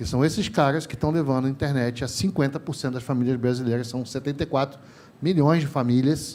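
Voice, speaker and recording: The man's voice is fairly high in pitch with a dark, mellow tone. He talks at a fairly quick pace. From Rio de Janeiro, Brazil. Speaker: telecom industry trainer, panelist. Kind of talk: panel discussion. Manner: animated, informal.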